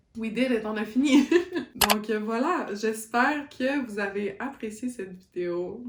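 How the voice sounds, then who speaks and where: A woman with a Quebec accent speaks at a fairly high pitch. Background noise is noticeable. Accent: Québécois French. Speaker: book YouTuber. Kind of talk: casual vlog book review. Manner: animated, code-switching French and English.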